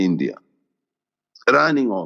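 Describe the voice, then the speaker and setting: A man with an Ethiopian accent is heard in a dry, close sound with no echo. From Ethiopia (Gondar). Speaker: tech executive. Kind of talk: interview, personal story. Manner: loud.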